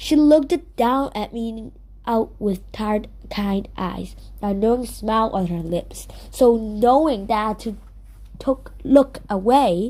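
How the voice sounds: A woman's fairly high pitch, dark, mellow tone, slow pace and ordinary pitch variation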